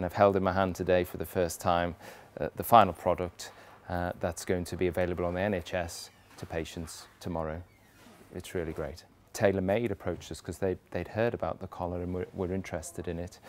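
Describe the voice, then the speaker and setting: Against light background noise, a man with a very deep, low pitch speaks fairly quickly in a monotone, flat delivery, the sound dry with no echo. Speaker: research professor. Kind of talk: interview answer. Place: factory. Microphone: lapel.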